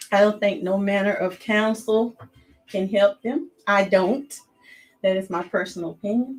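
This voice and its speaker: A woman with a Southern US accent talks at a moderate pace. Her voice is somewhat breathy and her pitch varies an ordinary amount. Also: medium pitch for a woman. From US South. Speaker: youtuber, commentary host. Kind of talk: casual monologue.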